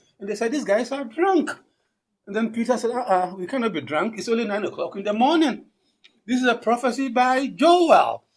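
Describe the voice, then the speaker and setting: A man with an African accent, extremely high in pitch, at a fairly quick pace with lively intonation. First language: Akan. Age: 60s. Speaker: linguistics professor. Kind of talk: conference keynote address. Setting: conference with audience.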